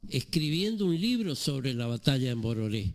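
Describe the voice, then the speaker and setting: A man at a moderate pace with very wide pitch swings. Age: 70s. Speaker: author. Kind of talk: radio interview.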